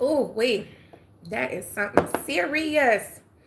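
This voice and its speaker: There is noticeable background noise as a woman with an American accent speaks. Her pace is fairly slow and her pitch variation ordinary. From US South, Atlanta, Georgia. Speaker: livestreamer. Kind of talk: casual chat. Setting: live stream.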